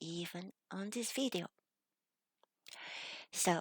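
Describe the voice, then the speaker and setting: In a Chinese accent, a woman speaks fairly slowly at a fairly low pitch with ordinary pitch variation, and the sound is dry and close with no echo. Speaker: video creator reading a message aloud.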